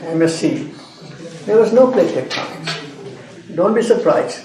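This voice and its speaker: A man's high-pitched voice with lively intonation, fairly slow in pace, with audible room echo. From India, Madras (Chennai). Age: 80s+. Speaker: geology professor. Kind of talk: lecture.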